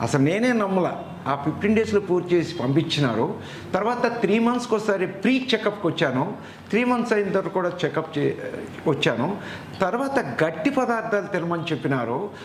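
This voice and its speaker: A man with a high-pitched voice keeps his loudness very even against noticeable background noise. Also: lively intonation. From Andhra Pradesh, Machilipatnam. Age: 70s. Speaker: dental patient. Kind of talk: testimony.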